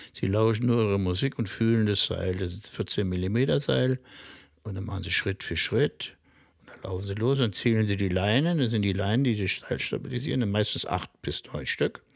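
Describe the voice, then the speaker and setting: In a plain, everyday voice, a man speaks at a moderate pace with fairly low pitch and lively intonation. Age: 60s. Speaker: high-wire artist. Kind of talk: interview. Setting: on location at his home.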